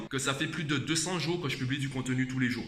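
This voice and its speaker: The speech comes at a very fast pace. Audible room echo and noticeable background noise fill the recording. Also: man. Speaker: vlogger and tutor. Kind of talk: casual vlog talk. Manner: conversational, addressing viewer directly.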